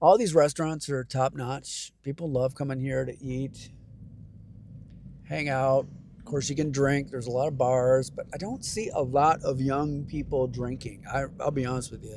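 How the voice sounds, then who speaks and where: A man's fairly high voice with an American accent, a normal speaking voice, moderate pace, and fairly even intonation. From Michigan. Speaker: travel vlogger. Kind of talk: casual driving vlog narration. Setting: in a car.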